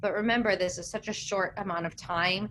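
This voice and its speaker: This woman has a plain, everyday voice, medium in pitch with ordinary variation, moving at a moderate pace. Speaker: science communicator, researcher. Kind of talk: webinar panel discussion.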